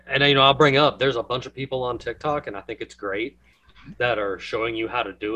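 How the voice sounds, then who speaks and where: A man with an American accent talks at a very fast pace and medium pitch, with fairly even intonation. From US South. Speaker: podcast host. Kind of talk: casual chat.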